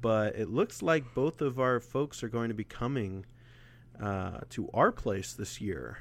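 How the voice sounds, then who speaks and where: A man with a normal speaking voice talks at a fairly slow pace. His pitch is medium, with ordinary pitch variation. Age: 20s. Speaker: podcast co-host. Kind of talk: casual chat. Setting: remote call over internet.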